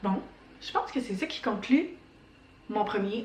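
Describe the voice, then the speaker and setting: A woman with a Quebec accent speaks with lively intonation at a fairly high pitch. Noticeable background noise and audible room echo fill the recording. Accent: Québécois French. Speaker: knitting podcaster. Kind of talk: casual chat.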